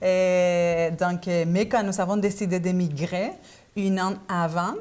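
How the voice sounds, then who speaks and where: Here a woman talks at a very slow pace. Her intonation is fairly even. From Argentina, Buenos Aires. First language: Spanish (speaking French). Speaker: business owner. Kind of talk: interview. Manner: hesitant, many fillers.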